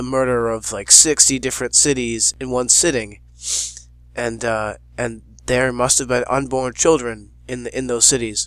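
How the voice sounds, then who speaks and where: A man at a medium pitch and a moderate pace, in a monotone, flat intonation. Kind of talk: casual talk to camera. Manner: hesitant, unscripted.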